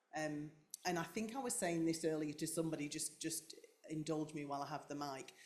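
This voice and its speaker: With a Yorkshire accent, a woman speaks at a fairly low pitch. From North Yorkshire, England. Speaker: carer of brain-injured partner, clinician. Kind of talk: panel discussion.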